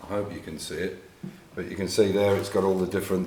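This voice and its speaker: A man with an English accent speaks at a very deep, low pitch, with audible room echo. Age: 60s. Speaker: classic car restorer. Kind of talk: tutorial. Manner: halting.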